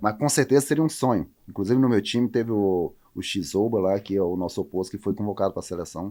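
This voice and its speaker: This man talks at a very fast pace in a fairly low pitch. His tone is dark and mellow, with ordinary pitch variation. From Roraima, northern Brazil. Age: 30s. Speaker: professional volleyball player. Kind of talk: interview.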